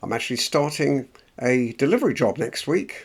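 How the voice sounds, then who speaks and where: The speaker has an English accent and ordinary pitch variation. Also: man. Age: 70s. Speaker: motivational vlogger. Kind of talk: personal vlog monologue. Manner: unscripted, hesitant.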